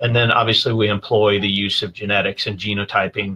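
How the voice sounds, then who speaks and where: Talking at a very fast pace, a man has a fairly low pitch and a bright, sharp tone. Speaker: guest. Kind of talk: interview answer. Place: office. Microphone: video call.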